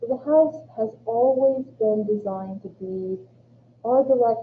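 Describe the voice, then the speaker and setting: This woman's voice sits fairly high and sounds somewhat breathy. She talks at a fairly slow pace with ordinary pitch variation. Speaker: college government instructor. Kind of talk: lecture.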